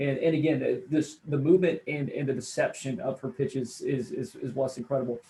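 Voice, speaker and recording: A plain, everyday voice from a man, fairly high-pitched, with ordinary pitch variation and hardly any pauses. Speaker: radio play-by-play announcer and sports commentator. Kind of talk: sports analysis interview answer.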